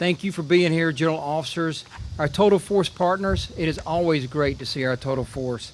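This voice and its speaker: A man with a Southern US accent, fairly high-pitched, with ordinary pitch variation and a fairly quick pace. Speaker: air force general. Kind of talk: ceremonial speech.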